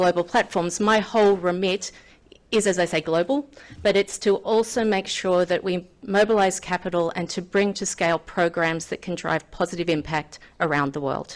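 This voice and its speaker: This woman speaks with an Australian accent at a medium pitch. Her pace is moderate and her pitch varies in an ordinary way. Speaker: finance executive. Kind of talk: conference speech. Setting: podium with live audience.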